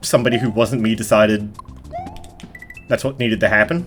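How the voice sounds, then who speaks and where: Music plays in the background while a man mumbles at a fairly quick pace. His voice has a medium pitch. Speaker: gaming youtuber. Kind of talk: let's play commentary. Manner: fast; mumbling.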